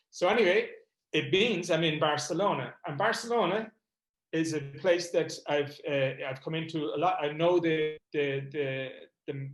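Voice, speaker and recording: A man's fairly high voice at a moderate pace with ordinary pitch variation. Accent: Irish. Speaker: comedy event promoter and MS patient. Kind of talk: online panel talk.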